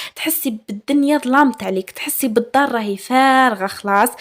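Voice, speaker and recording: A woman talks at a moderate pace in an ordinary speaking voice. Her pitch varies in an ordinary way. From Algeria, Chaoui region (Aurès/Batna). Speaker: lifestyle vlogger. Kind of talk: casual vlog talk to viewers. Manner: warm, chatty with fillers.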